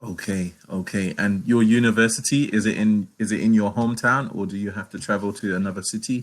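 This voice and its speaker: With a London accent, a man speaks in a fairly low voice, keeping his intonation fairly even and hardly pausing. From London, England. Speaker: online English tutor. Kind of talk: casual conversation lesson. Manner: halting, many repetitions.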